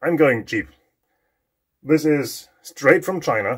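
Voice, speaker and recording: The man's pitch moves in an ordinary way, and everything around him is quiet. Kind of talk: casual vlog chat. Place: workshop. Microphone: phone near.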